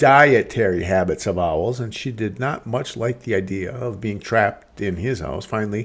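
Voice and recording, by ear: The pitch shifts in an ordinary way as a natural voice reads aloud.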